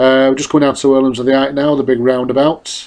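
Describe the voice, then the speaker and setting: A man with a Mancunian accent at a medium pitch and a fairly quick pace. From northern England, Salford. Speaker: motorcyclist. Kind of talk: casual narration. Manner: hesitant.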